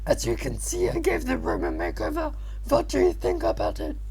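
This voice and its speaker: Loud and at a fairly quick pace, this put-on character voice comes over clear background noise. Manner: cheerful.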